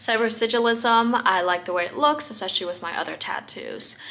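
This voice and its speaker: The pitch varies in an ordinary way. There is noticeable background noise. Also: woman. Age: young. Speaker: lifestyle vlogger. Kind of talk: casual vlog talk. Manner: many filler ums.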